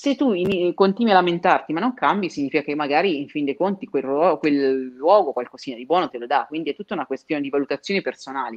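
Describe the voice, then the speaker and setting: A woman with a very deep, low voice talks very fast, hardly pausing at all. Her intonation is lively and her loudness swings widely. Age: 30s. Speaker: career trainer and recruiter. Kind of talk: interview. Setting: home, remote livestream.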